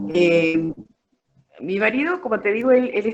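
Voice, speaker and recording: This woman talks at a fairly quick pace. Her pitch swings very widely. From Argentina, Mendoza (Guaymallén). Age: 60s. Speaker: former beekeeper. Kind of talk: interview. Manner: hesitant, many fillers.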